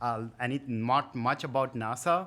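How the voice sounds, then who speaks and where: A man with an Indian accent and a bright, sharp tone speaks with ordinary pitch variation on a very clean recording with a silent background. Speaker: tech product manager, guest speaker. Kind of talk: conference talk. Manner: halting.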